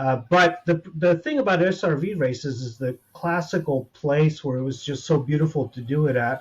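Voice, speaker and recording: Speaking with an American accent and an ordinary speaking voice, a man keeps a moderate pace with hardly any pauses, his fairly high pitch showing ordinary variation. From United States. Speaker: gamer guest. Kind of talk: casual chat.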